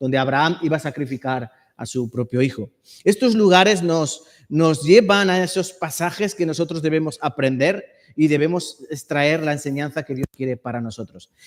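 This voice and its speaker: Here is a man with a plain, everyday voice, fairly high in pitch. He keeps a moderate pace with ordinary pitch variation. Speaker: preacher. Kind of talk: sermon.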